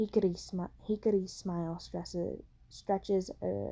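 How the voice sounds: What you hear is a natural reading voice.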